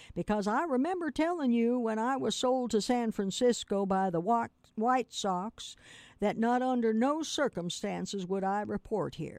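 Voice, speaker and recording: A woman with an unremarkable speaking voice talks at a moderate pace and a fairly high pitch. Her intonation is lively, and the sound is dry and close with no echo. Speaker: radio host and reader. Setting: radio studio, streamed online. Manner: relaxed, conversational host.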